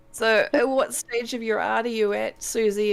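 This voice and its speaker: The speaker uses a New Zealand accent with fairly even intonation. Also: woman. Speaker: live stream co-host, artist. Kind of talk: casual chat. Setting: live stream. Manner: clear.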